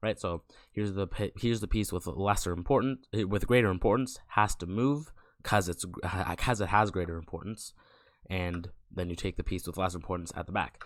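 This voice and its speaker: At a fairly quick pace, a man talks in a very deep, low voice on a very clean recording with a silent background. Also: ordinary pitch variation. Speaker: chess tutorial creator. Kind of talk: casual chess tutorial narration.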